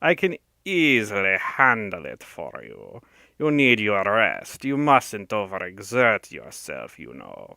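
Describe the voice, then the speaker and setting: Putting on a raspy, hissing character voice with a non-native accent, a man speaks at a medium pitch and a fairly slow pace on a very clean recording with a silent background. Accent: put-on foreign. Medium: read story. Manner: oily, sinuous, scornful.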